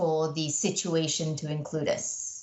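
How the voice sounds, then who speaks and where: A woman with a British accent talks at a moderate pace in a somewhat breathy voice. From Malaysia. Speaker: engineering company professional. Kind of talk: podcast interview. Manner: animated.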